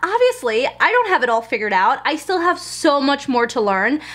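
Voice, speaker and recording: A woman is talking. Noticeable background noise runs underneath. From Germany. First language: German. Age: 20s. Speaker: lifestyle vlogger. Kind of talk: casual vlog talk to camera.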